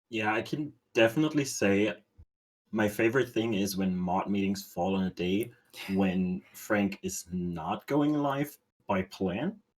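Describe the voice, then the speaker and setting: Fairly low in pitch, a man with a non-native accent talks at a fairly slow pace, with ordinary pitch variation. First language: not English. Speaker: stream moderator. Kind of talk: casual chat.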